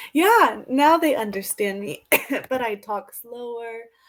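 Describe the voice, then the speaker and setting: A woman with an American accent speaks very slowly. Her fairly high voice has lively intonation. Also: big swings in loudness. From United States. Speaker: English tutor. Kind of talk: casual conversation lesson. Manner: slow and clear.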